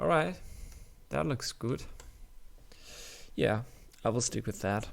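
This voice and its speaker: Medium-pitched male voice with vocal fry and very wide pitch swings at a fairly slow pace. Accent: German. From Germany. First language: German. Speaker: indie game developer. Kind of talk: tutorial. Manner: halting.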